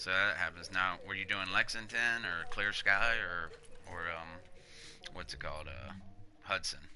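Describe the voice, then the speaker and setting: Bright and sharp in tone, a man with a Southern US accent speaks in an animated way, with audible room echo around him. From US South, Panama City, Florida. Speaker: gaming livestreamer. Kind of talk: live gameplay stream commentary. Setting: live stream. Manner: casual, animated.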